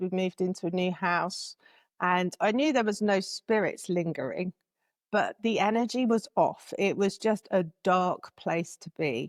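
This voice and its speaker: On a very clean recording with a silent background and a dry, close sound with no echo, a woman with an English accent speaks at medium pitch and a moderate pace with ordinary pitch variation. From England. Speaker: spiritual guide and author. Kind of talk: interview.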